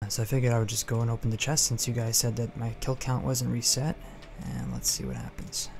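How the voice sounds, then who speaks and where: Music in the background behind a man talking at a very fast pace. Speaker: gaming commentator. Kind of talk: game commentary. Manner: whispered, quiet.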